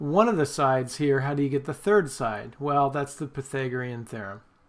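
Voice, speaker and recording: A man with an ordinary speaking voice has a fairly high pitch. He talks at a moderate pace. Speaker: math teacher. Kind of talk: tutorial.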